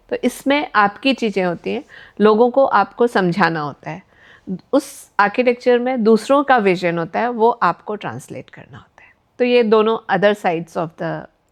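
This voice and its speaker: Lively intonation from a woman at medium pitch, with big swings in loudness, long and frequent pauses, and a quiet background. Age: 50s. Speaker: architect and entrepreneur. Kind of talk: interview. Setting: studio. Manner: hesitant, many filler sounds.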